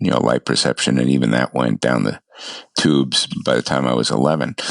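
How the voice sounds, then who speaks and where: Dry, close sound with no echo, a New York accent and a moderate pace. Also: man. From US, New York City. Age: 70s. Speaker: ham radio operator, blind guest. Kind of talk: interview, life story.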